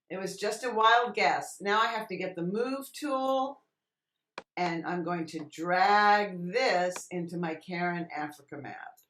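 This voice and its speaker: Speaking fairly slowly, a woman has an unremarkable speaking voice, lively intonation and a medium pitch. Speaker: Photoshop tutorial instructor. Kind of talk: tutorial. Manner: casual, thinking aloud.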